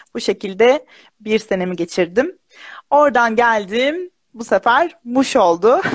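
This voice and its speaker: A woman speaks very slowly in a fairly high voice, her pitch swinging very widely. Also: quiet background. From central Anatolia, Kırşehir; Central Anatolia. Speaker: primary school teacher. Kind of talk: casual interview. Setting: live video stream. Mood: warm, smiling, chatty. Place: home room. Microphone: video call.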